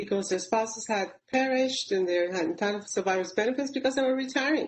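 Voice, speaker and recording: Lively intonation marks this woman's somewhat breathy voice. She speaks at a fairly high pitch with a Puerto Rican accent. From Puerto Rico, Caguas. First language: Spanish. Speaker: public service leader, panelist. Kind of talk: webinar panel talk. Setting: webinar.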